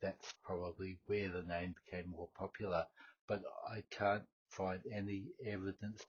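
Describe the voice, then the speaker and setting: A man's very deep, low voice, somewhat breathy, with an Australian accent at a moderate pace. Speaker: history podcast host. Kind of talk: unscripted solo podcast talk. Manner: halting, many fillers and repetitions.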